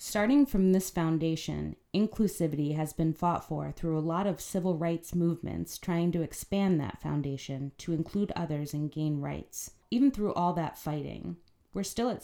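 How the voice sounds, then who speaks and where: A woman speaks with a very deep, low pitch and a dark, mellow tone. Her pace is moderate, with ordinary pitch variation. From Philadelphia. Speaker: community organizer, podcast co-host. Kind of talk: scripted narration.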